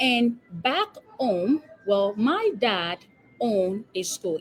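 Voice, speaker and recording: Over music in the background, a woman with a Nigerian accent speaks with very wide pitch swings. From Nigeria, Lagos. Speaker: epidemiologist and business coach. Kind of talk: interview. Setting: live stream.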